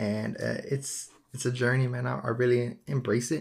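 At a moderate pace, a man with a relaxed, somewhat breathy tone speaks at medium pitch with ordinary pitch variation. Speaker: podcast host. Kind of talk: casual solo podcast monologue. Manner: relaxed, slangy, with fillers.

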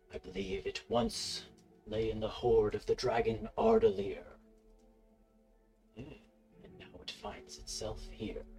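A man performs a put-on character voice at a fairly slow pace. Long, frequent pauses break it up, with faint music in the background. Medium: actual play.

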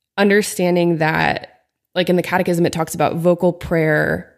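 At a moderate pace, a woman with an American accent speaks at a fairly low pitch with vocal fry and fairly even intonation. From Pennsylvania, small town. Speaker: youth minister and worship leader. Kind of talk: casual chat. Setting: studio, own mic.

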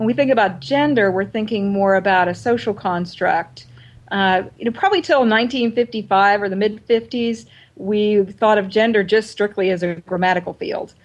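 The woman speaks in an ordinary speaking voice of medium pitch, at a moderate pace with ordinary pitch variation. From US Pacific Northwest, Oregon. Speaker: writer and seminary professor. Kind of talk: interview.

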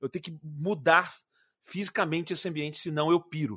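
A dry, close sound with no echo against a quiet background. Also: man. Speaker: YouTuber and video producer. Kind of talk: casual chat.

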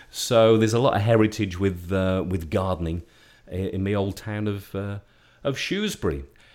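Here is a plain, everyday voice from a man with a fairly low pitch. He keeps a moderate pace and ordinary pitch variation. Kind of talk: radio DJ patter, friendly community-radio chat with a co-host, taking listener questions. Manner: warm, chatty and genial, jokey, often interrupting and overlapping with co-host, relaxed.

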